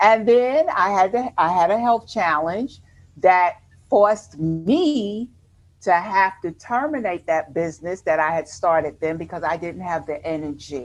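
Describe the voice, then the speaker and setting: A woman with a New York accent speaks at a medium pitch and a fairly slow pace, her intonation lively. Music plays in the background. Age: 50s. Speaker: retired army nurse turned entrepreneur. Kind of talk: interview.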